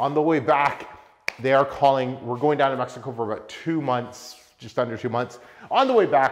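The background stays quiet while a man talks. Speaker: car vlogger. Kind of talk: casual vlog chat. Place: garage.

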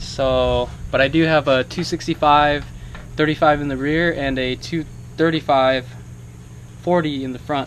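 A man's speech comes through light background noise. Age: 20s. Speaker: car and motorcycle vlogger; car hobbyist vlogger. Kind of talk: casual vlog talk to camera. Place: garage. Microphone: phone near.

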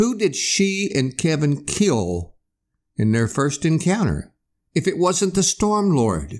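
At a very slow pace, a man with a fairly high pitch makes very wide pitch swings while his loudness stays very even, in a very clean recording with a silent background. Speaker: author and podcast host. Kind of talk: reading aloud from his own romance novel, audiobook narration; casual self-introduction, talking about his writing career.

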